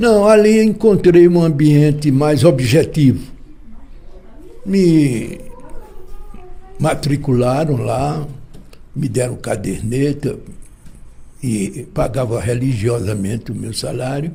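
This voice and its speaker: Over noticeable background noise and audible room echo, the speaker moves at a very slow pace with long, frequent pauses and very wide pitch swings. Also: man, fairly high pitch for a man. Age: 80s+. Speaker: journalist and lawyer. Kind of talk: interview. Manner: halting.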